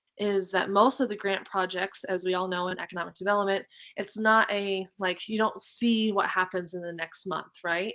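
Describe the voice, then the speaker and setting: A woman's bright, sharp, medium-pitched voice with fairly even intonation and hardly any pauses. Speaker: state agency staff presenter. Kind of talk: webinar presentation. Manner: fast.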